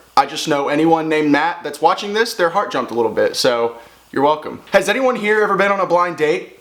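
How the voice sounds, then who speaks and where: The delivery is animated, with lively intonation at a fairly quick pace. Noticeable background noise runs underneath. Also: man. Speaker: YouTube commentator. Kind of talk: casual commentary.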